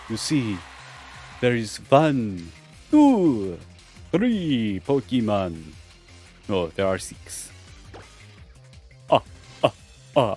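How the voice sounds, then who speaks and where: Using a put-on character voice at medium pitch, a man speaks very slowly while clear music plays in the background. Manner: playful, laughing ah ah ah.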